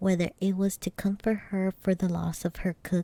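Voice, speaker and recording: A soft-spoken woman whispers at a fairly slow pace. Her voice is somewhat breathy. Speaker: ASMR streamer and vtuber. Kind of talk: ASMR bedtime story reading. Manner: soft-spoken, whispery.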